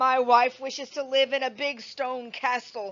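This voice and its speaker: Using a put-on character voice, a woman speaks at a high pitch and a moderate pace with monotone, flat intonation. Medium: read story. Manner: meek, hesitant.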